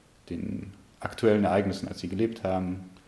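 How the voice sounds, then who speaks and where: The speech comes at a very fast pace in a monotone, flat intonation, with audible room echo. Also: man. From Munich, Bavaria. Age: 20s. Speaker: history student. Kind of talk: interview. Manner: halting, repeats words.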